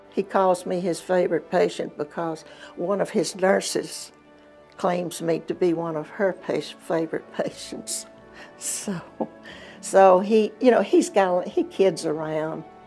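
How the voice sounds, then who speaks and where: Over music in the background, a woman speaks fairly slowly at a medium pitch with ordinary pitch variation. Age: 80s+. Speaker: patient. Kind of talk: interview answer. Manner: lively, vivacious.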